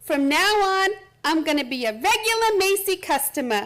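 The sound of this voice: A woman does a put-on character voice at an extremely high pitch with big swings and a fairly bright tone. Her pace is moderate.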